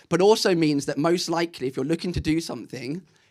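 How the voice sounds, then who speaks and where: Intonation stays fairly even as a man talks at a very fast pace. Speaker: ecommerce marketing speaker. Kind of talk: conference talk. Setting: stage with audience.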